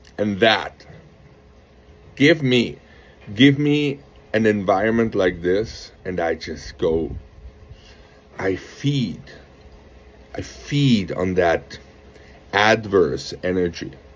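The speaker talks at a very slow pace, with long pauses coming often. The pitch swings very widely. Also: man, fairly low pitch for a man. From France. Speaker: rowing coach. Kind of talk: monologue to camera, coaching pitch. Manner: animated. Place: garden. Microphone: phone near.

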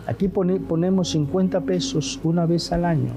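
Clear music in the background behind a man's voice with ordinary pitch variation. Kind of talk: sermon. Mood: earnest appeal for donations. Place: studio.

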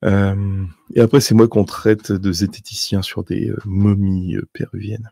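A man's dark, mellow tone, monotone and flat, at a fairly slow pace, dry with no echo against a quiet background. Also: fairly low pitch for a man. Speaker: news and UFO video host; news, UFO video host. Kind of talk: solo commentary on documents. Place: home room. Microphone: studio mic.

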